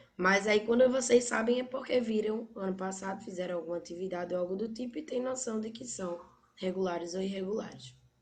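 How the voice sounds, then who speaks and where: The voice moves at a fairly quick pace with ordinary pitch variation and big swings in loudness. Audible room echo surrounds it. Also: woman, medium pitch for a woman. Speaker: English teacher. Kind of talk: online class lecture.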